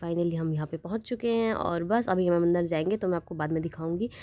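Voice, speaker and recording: Her voice sits fairly low for a woman, with a dark, mellow tone. She talks at a fairly quick pace with fairly even intonation. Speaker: vlogger. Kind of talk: travel vlog narration.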